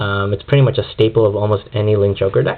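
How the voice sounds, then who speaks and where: A man talks at an even, moderate speed while noticeable noise sits in the background. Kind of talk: card game deck profile talk to camera. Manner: hesitant, stuttering with many ums.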